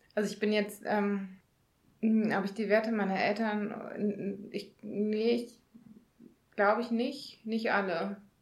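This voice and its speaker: Surrounded by audible room echo, a woman with a fairly high pitch speaks at a very slow pace in a monotone, flat intonation, with long, frequent pauses. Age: 30s. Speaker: podcast co-host. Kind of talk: casual chat. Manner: halting, many filler sounds.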